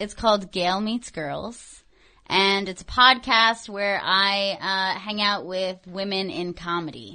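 A very slow, bright and sharp voice in an American accent, with ordinary pitch variation over a quiet background. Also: woman, medium pitch for a woman. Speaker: radio and podcast host. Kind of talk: casual chat. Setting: studio.

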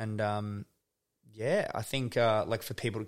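Very clean and silent in the background, this recording features a man with an Australian accent. His fairly low voice stays flat and monotone. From Tasmania, Australia. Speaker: photographer and video director. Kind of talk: casual chat. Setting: home studio.

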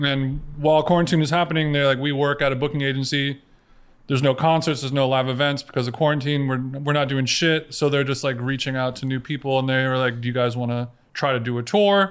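A man with a Southern Californian accent at a fairly high pitch, with fairly even intonation, at a very fast pace. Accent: Southern California American. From Orange County, California. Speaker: podcaster. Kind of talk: casual chat.

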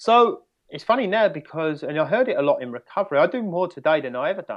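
Speaking at a very fast pace, a man talks in an English accent. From England, near London. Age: 30s. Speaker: recovery coach. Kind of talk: interview.

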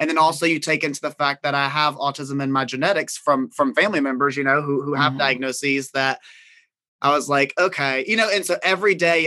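Against a quiet background, a man with a Southern US accent talks at a fairly quick pace in a fairly high, bright, sharp voice with ordinary pitch variation. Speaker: caregiver and reality TV cast member. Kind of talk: casual chat.

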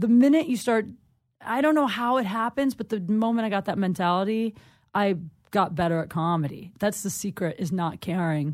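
A woman with an American accent has an unremarkable speaking voice at a medium pitch, with lively intonation. She talks at a moderate pace on a very clean recording with a silent background. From Ohio, US Midwest. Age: 30s. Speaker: comedian. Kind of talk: casual chat. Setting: studio.

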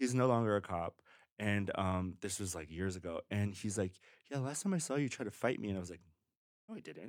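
Fairly quick in pace, a man uses a normal speaking voice with a fairly low pitch and ordinary pitch variation. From Mexico, raised in Los Angeles. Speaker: adult film performer and DJ. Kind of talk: casual chat. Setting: studio, in person.

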